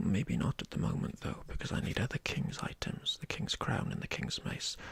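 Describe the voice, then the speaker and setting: Whispering at a moderate pace, a man is heard over noticeable background noise. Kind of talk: ASMR board game playthrough. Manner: whispered.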